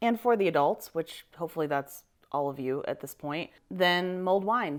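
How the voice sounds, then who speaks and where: Lively intonation marks this woman's fairly low-pitched voice at a moderate pace. The recording is very clean, with a silent background. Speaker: vintage lifestyle vlogger. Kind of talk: casual get-ready-with-me tutorial.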